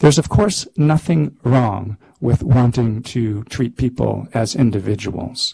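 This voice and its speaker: A man's dark, mellow voice carries vocal fry and ordinary pitch variation. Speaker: psychology researcher and speaker. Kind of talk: lecture. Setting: grand rounds talk with audience.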